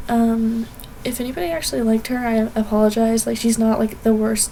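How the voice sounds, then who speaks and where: A woman's fairly high voice at a very fast pace, with noticeable background noise. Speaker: art YouTuber. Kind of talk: speedpaint voiceover commentary. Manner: casual, many fillers.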